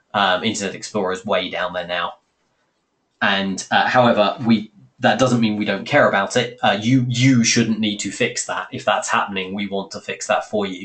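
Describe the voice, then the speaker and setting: A man with a British accent speaks at a fairly low pitch with fairly even intonation. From Britain. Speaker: software company host. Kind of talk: webinar Q&A. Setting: webinar call. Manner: fast; hesitant with fillers.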